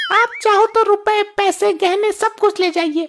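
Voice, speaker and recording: Cartoonish character voice of a woman, extremely high in pitch, at a moderate pace with very even loudness and fairly even intonation. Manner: loud, emotional.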